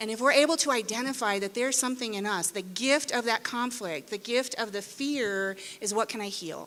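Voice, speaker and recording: A woman's fairly high, fairly quick voice with an American accent, ordinary pitch variation and hardly any pauses, a plain, everyday voice. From Arizona, US. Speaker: parenting educator and author. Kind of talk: conference talk. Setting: indoor conference room with audience. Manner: conversational, engaging audience.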